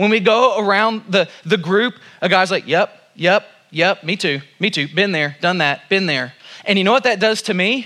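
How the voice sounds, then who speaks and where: In an American accent, a man speaks at a moderate pace with a high pitch and ordinary pitch variation. His voice is raised and projected, with a bright, sharp tone. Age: 40s. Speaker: pastor. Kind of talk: sermon. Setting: church.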